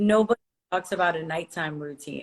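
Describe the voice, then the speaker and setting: A woman with a normal speaking voice talks at a moderate pace, her pitch fairly low for a woman. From Brazil, moved to US age 7-8. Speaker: entrepreneur and influencer. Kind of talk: podcast interview. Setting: online call.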